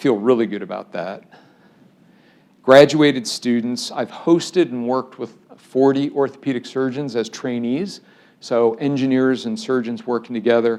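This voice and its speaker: Using a normal speaking voice, a man with an American accent talks at a medium pitch and a moderate pace with ordinary pitch variation. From US Midwest (Cleveland, Ohio suburbs). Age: 60s. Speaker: engineering professor. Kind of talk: public lecture.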